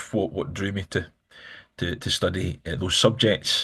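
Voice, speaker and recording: A man with a Glaswegian accent speaks at a moderate pace. His voice is fairly low in pitch with a bright, sharp tone. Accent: Glaswegian Scottish. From Scotland, Glasgow. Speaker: politician. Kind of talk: interview. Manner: halting, many fillers and repeats.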